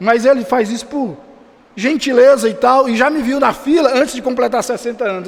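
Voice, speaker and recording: An animated man's voice at an extremely high pitch, with noticeable background noise. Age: 60s. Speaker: pastor. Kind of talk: sermon. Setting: church.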